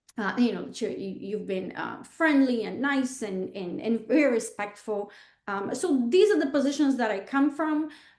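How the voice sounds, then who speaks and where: A woman's high-pitched voice at a moderate pace, with lively intonation and big swings in loudness. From Bulgaria. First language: Bulgarian. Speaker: real estate agent. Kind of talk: interview. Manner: halting, many fillers.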